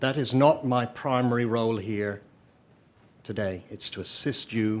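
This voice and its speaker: Speaking with an Irish accent, a man keeps a moderate pace and a fairly even intonation. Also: medium pitch for a man. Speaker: lawyer, amicus curiae in court. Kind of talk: legal argument before a court. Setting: courtroom, live-streamed hearing. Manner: formal.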